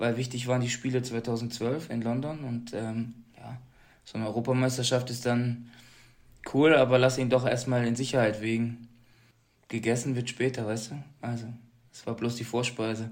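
The delivery is flat and monotone at a moderate pace, with long, frequent pauses. Loudness swings widely throughout. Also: man, medium pitch for a man. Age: 30s. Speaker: Paralympic athlete. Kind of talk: interview.

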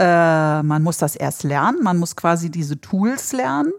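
Speaking very slowly on a very clean recording with a silent background, a woman uses a fairly low pitch and lively intonation. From northern Germany. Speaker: flamenco dancer and dance teacher. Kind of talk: casual interview.

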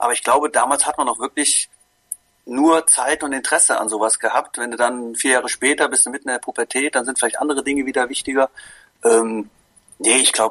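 Speaking at a fairly quick pace, a man with a medium pitch keeps his intonation fairly even and his tone bright and sharp. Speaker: sports fan guest. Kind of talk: casual chat. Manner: halting.

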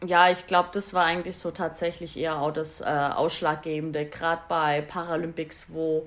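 This woman has an unremarkable speaking voice with a fairly low pitch. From Swabia, southern Germany. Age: 30s. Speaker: Paralympic alpine skier. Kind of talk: interview. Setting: remote call.

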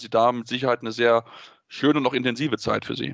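Over a quiet background, a man at a medium pitch speaks at a very fast pace with monotone, flat intonation. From North Rhine-Westphalia, Germany. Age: 20s. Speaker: podcast host. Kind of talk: interview and co-host discussion.

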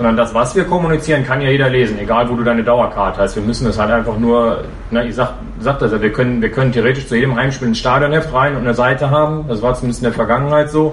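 A man at medium pitch speaks at a very fast pace with fairly even intonation. Audible room echo and noticeable background noise come through. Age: 40s. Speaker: football fan representative. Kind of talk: podcast interview. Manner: hesitant with many fillers.

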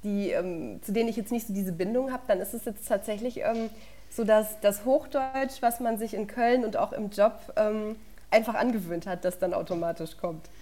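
In a very clean recording with a silent background, a woman with a fairly high pitch talks at a moderate pace and ordinary pitch variation. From Lower Franconia, Bavaria (Würzburg area). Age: 20s. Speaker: sports journalist. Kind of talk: casual interview chat.

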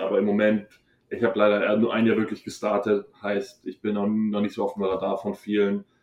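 This man's voice sits at a fairly low pitch. He talks at a moderate pace. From Bavaria, Munich area. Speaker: college football player. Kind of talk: interview.

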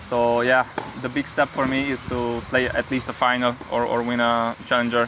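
A man speaks at a fairly slow pace in a medium pitch with a monotone, flat intonation, over noticeable background noise. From Hungary. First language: Hungarian (speaking German). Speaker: professional tennis player. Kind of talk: interview. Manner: halting, repeats words.

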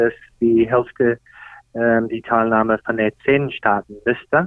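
Someone with an English accent speaks at a very slow pace. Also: man. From Australia. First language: English (speaking German). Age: 50s. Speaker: golf pro and tournament golfer. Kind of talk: interview. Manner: hesitant, many filler sounds.

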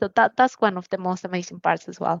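A woman speaks in a Spanish accent with fairly even intonation. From Mexico, Mexico City. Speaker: motorsport engineering manager. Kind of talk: interview.

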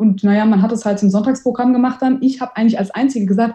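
Fairly even in intonation, a woman speaks very fast with a dark, mellow tone. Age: 30s. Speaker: amateur racing driver and event manager. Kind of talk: interview.

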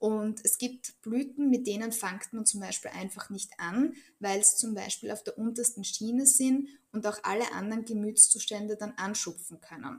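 Somewhat breathy, a woman speaks at a fairly high pitch and a moderate pace with ordinary pitch variation. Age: 30s. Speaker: Bach flower practitioner. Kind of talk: interview.

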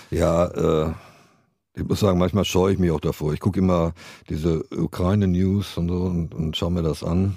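A man speaks in a very deep, low pitch with a dark, mellow tone and fairly even intonation. The recording is very clean, with a silent background. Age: 60s. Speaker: rock guitarist and songwriter. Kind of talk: interview. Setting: small studio.

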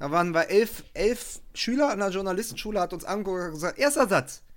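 High male pitch at a fairly quick pace, on a very clean recording with a silent background. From Germany, West Berlin. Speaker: journalist and podcaster. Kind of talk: casual chat.

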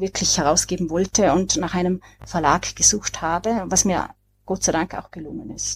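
Speaking in an Austrian accent at a moderate pace, a woman with a fairly low pitch, vocal fry and ordinary pitch variation comes through on a very clean recording with a silent background. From Austria, Vorarlberg. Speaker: author, depression survivor. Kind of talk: podcast discussion.

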